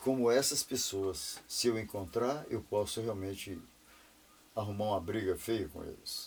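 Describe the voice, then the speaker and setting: A man talks at a fairly slow pace with ordinary pitch variation. His voice is somewhat breathy. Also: medium pitch for a man. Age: 60s. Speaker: retired businessman. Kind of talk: interview. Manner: animated.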